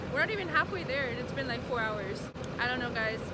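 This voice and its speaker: Talking at a fairly quick pace, a woman is heard in a dry sound with no echo over loud background noise. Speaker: vlogger. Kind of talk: casual vlog chat. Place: street. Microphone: phone near.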